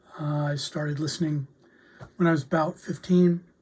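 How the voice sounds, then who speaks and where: The voice has a dark, mellow tone, is somewhat breathy, and moves at a moderate pace. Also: woman. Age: 60s. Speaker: music reviewer. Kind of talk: casual video review. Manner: relaxed with many fillers.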